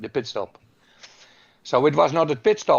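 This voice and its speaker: A man is speaking here. His pitch swings very widely. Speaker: sim racing driver. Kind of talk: post-race interview. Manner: halting.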